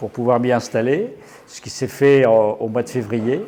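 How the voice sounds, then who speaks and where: This man has a medium pitch and a dark, mellow tone. His intonation stays fairly even. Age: 60s. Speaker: gallery owner and painter. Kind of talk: interview. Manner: hesitant, many fillers.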